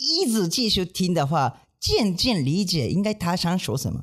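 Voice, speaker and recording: Against a quiet background, a man with a high pitch speaks with very wide pitch swings. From Japan. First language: Japanese (speaking Chinese). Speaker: manzai comedian, podcast co-host. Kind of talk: casual chat. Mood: cheerful, animated. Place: studio. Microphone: studio mic.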